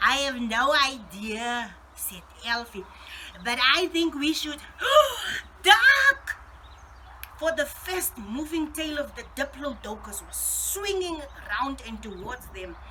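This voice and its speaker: A woman with a high pitch speaks in a raised, projected voice at a very slow pace, leaving long, frequent pauses. Her intonation is lively, her loudness swings widely, and noticeable background noise is present. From South Africa. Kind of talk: children's story reading.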